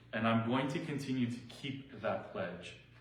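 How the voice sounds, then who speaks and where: A man's voice at a fairly slow pace with fairly even intonation, audible room echo and noticeable background noise. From Quebec. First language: French. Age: 40s. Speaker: political organizer and rally speaker. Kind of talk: speech at a public meet and greet. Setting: indoor community event, livestreamed on video call.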